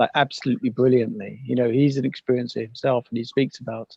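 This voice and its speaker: A man with an English accent talks at a fairly quick pace in a medium pitch. His intonation is fairly even, and the sound is dry and close with no echo. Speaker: paranormal podcaster. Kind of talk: casual chat. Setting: video call.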